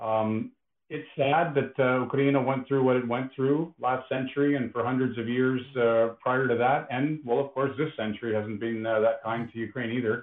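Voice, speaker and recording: Someone speaks with a Canadian accent at a moderate pace. It is an unremarkable speaking voice with fairly even intonation. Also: man, medium pitch for a man. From Canada. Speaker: podcast co-host. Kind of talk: casual chat. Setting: online remote call.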